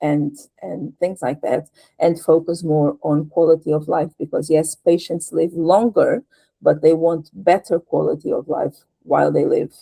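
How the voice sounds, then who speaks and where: In a Portuguese accent, the voice moves at a fairly slow pace with a dark, mellow tone. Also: woman. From Portugal. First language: European Portuguese. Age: 50s. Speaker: patient advocate and translator. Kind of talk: interview conversation. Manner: halting.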